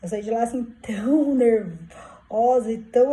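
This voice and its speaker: This woman's tone is dark and mellow. Her pitch sits fairly high. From southern Brazil, Curitiba. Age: 50s. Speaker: vlogger. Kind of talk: personal vlog, casual monologue. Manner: informal, hesitant with fillers.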